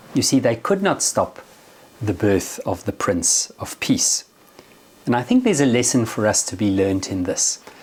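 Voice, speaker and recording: The speaker has a South African accent and sounds somewhat breathy. The intonation is lively, and the pace is moderate. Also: man, medium pitch for a man. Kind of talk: religious reflection.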